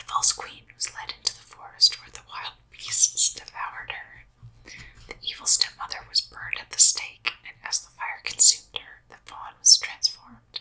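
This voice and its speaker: A woman whispers with big swings in loudness over noticeable background noise. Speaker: ASMR whisper reader. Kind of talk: bedtime story reading. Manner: whispered, soft, slow.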